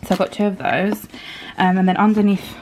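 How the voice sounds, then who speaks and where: A woman speaks over noticeable background noise. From Poland. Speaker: vlogger, young mum. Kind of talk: casual haul vlog. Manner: casual, many filler ums.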